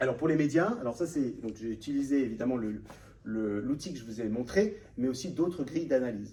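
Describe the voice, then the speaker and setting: A man speaks at a fairly quick pace in a somewhat breathy voice with a dark, mellow tone. His pitch swings very widely, and room echo is audible. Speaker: author and data researcher, panel guest. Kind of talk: conference talk with slides. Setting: room with live audience. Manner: fast; hesitant, many fillers.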